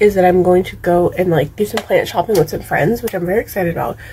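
The woman talks at a very fast pace, her pitch varying in an ordinary way, with light background noise behind her. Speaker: vlogger. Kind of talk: casual vlog chat. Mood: cheerful, excited. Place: home room. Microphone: phone near.

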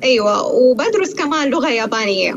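A woman speaks fast, her high pitch making big swings.

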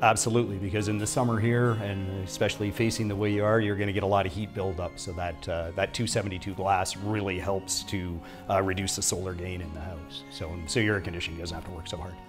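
Very deep, low-pitched man's voice at a fairly quick pace, with fairly even intonation, hardly any pauses and clear music in the background. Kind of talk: interview answer. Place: home room.

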